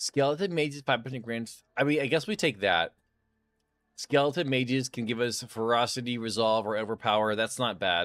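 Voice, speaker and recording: A man at a medium pitch with ordinary pitch variation and a fairly quick pace, dry and close with no echo on a very clean recording with a silent background. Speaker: video game streamer. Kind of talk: live gameplay stream chat. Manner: loud; casual, conversational.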